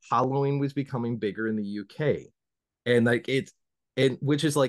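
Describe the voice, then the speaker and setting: The speaker is a man with a fairly high pitch. He talks in an American accent. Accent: Southern accent, mostly hidden. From US South. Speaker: podcast host. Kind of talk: casual interview chat.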